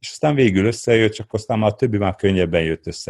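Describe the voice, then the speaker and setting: A man's ordinary speaking voice, fairly low and fairly quick, with lively intonation. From Transylvania, Székelyudvarhely (Romania). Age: 50s. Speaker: entrepreneur and adventurer. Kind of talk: interview.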